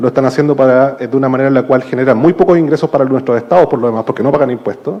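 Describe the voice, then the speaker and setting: Ordinary pitch variation in a Chilean accent, with noticeable background noise. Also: man. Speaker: panelist, digital rights policy expert. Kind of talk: panel discussion. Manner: hesitant, many fillers.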